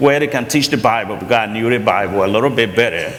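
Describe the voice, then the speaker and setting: The man has a strong Liberian accent. Noticeable background noise and audible room echo fill the recording. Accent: heavy Liberian. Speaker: college president and pastor. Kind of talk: interview testimony.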